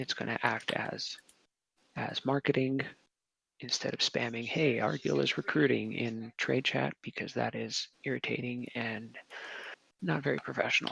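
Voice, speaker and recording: A man speaks quietly at a moderate pace with long, frequent pauses. The sound is dry and close with no echo. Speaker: guild leader. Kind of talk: meeting address to group. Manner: quiet, low volume.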